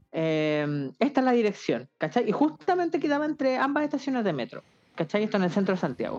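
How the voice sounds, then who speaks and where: Her pitch is fairly high and swings very widely. The woman talks at a fairly quick pace. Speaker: podcast co-host. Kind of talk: casual comedic chat. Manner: animated, joking.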